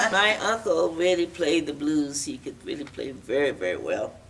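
A woman's voice at a moderate pace amid noticeable background noise. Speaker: folk singer. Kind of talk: interview answer. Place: hall.

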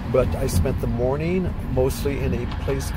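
With music playing behind him, a man's voice comes through dry, with no echo. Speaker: traveler vlogger. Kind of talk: casual vlog chat. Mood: enthusiastic, reflective. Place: car. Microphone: phone near.

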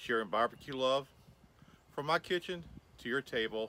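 Lively intonation and a bright, sharp tone mark this man's speech at a moderate pace. The sound is dry with no echo. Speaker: cooking channel host. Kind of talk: video outro to viewers. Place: garden.

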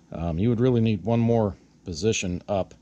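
A man speaks at a moderate pace. His tone is dark and mellow. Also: fairly low pitch for a man, ordinary pitch variation.

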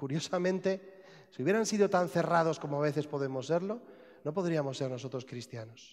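Speaking with a Spanish accent, a man uses a fairly high pitch and ordinary pitch variation against a quiet background. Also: moderate pace. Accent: Spanish (Spain). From Spain. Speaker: priest. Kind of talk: sermon. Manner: halting. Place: church.

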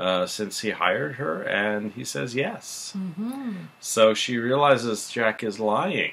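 This man talks at a fairly slow pace with lively intonation. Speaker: show recap host. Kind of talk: casual recap commentary. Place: home room. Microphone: webcam.

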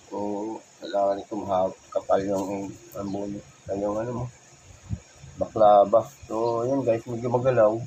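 A man of medium pitch speaks in a monotone, flat way with big swings in loudness and long, frequent pauses over noticeable background noise. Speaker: delivery rider and motovlogger. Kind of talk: product unboxing vlog. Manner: halting, many fillers.

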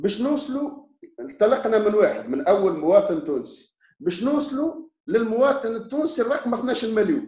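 A man speaks at a moderate pace in an extremely high voice with lively intonation. Room echo is audible against a quiet background. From Tunisia. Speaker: opposition politician. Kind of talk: interview. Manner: animated. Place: home room. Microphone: video call.

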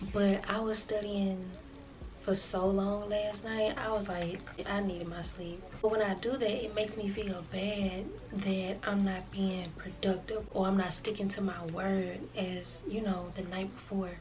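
Over noticeable background noise, a woman talks at a fairly slow pace in a monotone, flat intonation. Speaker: vlogger. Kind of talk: casual vlog chat. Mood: reflective, easygoing. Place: home room.

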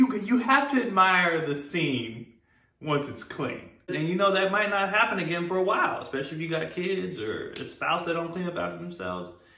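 A man talks at a moderate speed. The room around him echoes noticeably. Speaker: comedy creator. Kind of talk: casual vlog chat. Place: home room.

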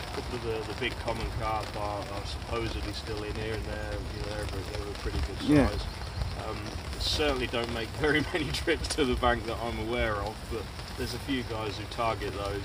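A man talking at a fairly quick pace, dry sound with no echo, noticeable background noise. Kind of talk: interview answer. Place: waterside. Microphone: camera far.

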